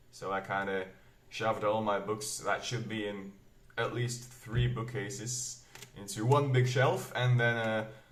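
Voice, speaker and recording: Audible room echo surrounds a man's medium-pitched voice. He talks at a fairly slow pace with fairly even intonation. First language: Flemish Dutch dialect. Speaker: booktuber, metal reviewer. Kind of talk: casual vlog talk. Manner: hesitant, many fillers.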